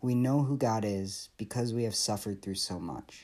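With an American accent, a man speaks in a plain, everyday voice at a medium pitch and a moderate pace, on a very clean recording with a silent background. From Michigan. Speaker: PhD student giving scripture reflection. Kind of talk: devotional reflection. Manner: earnest, measured.

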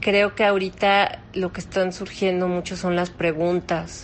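A woman talks at a very slow pace. Her pitch sits in the medium range. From Mexico. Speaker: opera singer and voice teacher. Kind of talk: interview. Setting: phone call.

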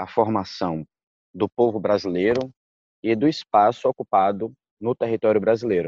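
Here a man talks with ordinary pitch variation. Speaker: jurist and candomblé practitioner. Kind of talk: interview.

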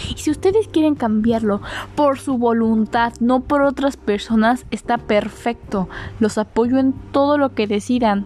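Over noticeable background noise, a woman speaks fairly slowly at a fairly high pitch, with ordinary pitch variation and very even loudness. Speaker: podcast host. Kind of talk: casual solo monologue. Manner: animated.

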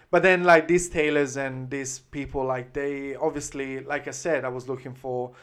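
Someone speaks with an Italian accent against a quiet background. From Italy, Florence (Tuscany). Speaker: menswear brand founder. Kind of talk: casual chat. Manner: halting.

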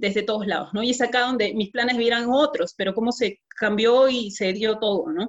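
A woman talks in an ordinary speaking voice at a fairly high pitch. Her pace is moderate, with ordinary pitch variation. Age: 20s. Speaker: network marketing distributor. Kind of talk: testimony.

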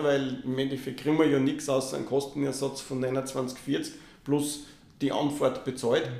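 A man's flat, monotone speech amid noticeable background noise and audible room echo. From Austria, Linz. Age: 50s. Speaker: triathlon federation president. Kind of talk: podcast interview.

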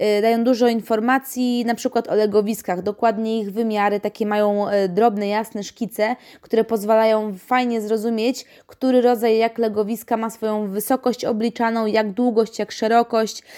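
On a very clean recording with a silent background, a woman speaks at a moderate pace in a fairly high, flat, monotone voice. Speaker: podcast host and pet shop owner. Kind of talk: casual product review monologue.

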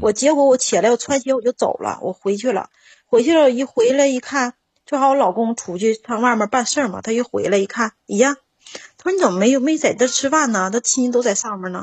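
A woman's high-pitched, animated voice at a fairly quick pace, with ordinary pitch variation. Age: 40s. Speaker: caller. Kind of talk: call-in advice chat. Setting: phone call.

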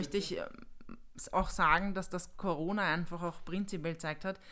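It is a plain, everyday voice. Ordinary pitch variation runs through it. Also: woman. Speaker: junior business manager. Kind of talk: casual chat.

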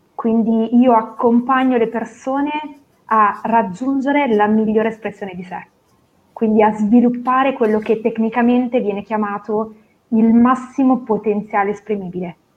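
Here is an ordinary speaking voice from a woman, fairly high in pitch. She keeps a moderate pace and fairly even intonation. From northern Italy, Novara. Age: 30s. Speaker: professional coach. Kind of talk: interview. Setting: video call.

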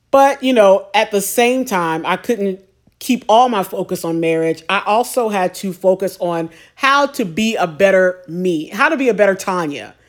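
A normal speaking voice, a woman at medium pitch with lively intonation and moderate pace, on a very clean recording with a silent background. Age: 40s. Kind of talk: solo monologue on faith and singleness. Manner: conversational, with fillers and repetitions.

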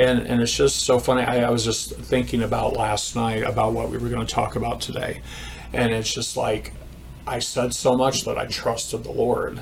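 A man with an American accent at a moderate pace, amid noticeable background noise and audible room echo. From US Midwest, Indiana. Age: 50s. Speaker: church counselor sharing testimony. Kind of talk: testimony.

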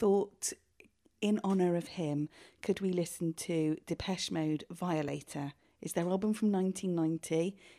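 This woman has a British accent and a dark, mellow tone at medium pitch, speaking fairly slowly with fairly even intonation. The recording is very clean, with a silent background. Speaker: podcast co-host. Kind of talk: casual chat.

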